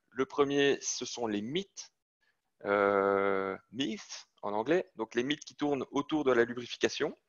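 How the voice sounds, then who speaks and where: Speaking at a very slow pace, a man with a Belgian accent uses lively intonation. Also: medium pitch for a man. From Belgium. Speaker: sales manager presenting to students. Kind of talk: technical lecture. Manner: hesitant, many fillers.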